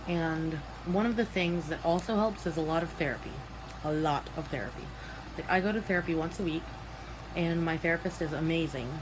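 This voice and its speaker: A woman's fairly low voice at a moderate pace, ordinary pitch variation, noticeable background noise. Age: young. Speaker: vlogger. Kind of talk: personal vlog. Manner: halting.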